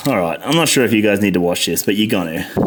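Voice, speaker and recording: A man with an Australian accent speaks over noticeable background noise. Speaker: motorcycle mechanic. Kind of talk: tutorial. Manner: frustrated muttering with heavy swearing.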